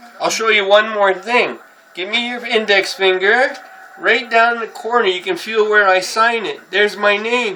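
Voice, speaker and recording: Moderate pace over noticeable background noise. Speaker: artist, painter. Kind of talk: casual talk explaining art. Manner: loud, over-articulated.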